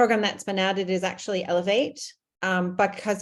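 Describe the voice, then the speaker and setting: A woman with an American accent speaks with a monotone, flat intonation. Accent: American, audible. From United States. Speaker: CEO. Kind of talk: online information session.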